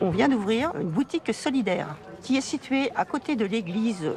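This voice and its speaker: A woman speaks at a fairly high pitch with music playing in the background. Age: 70s. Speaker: retired charity volunteer. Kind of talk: filmed testimony.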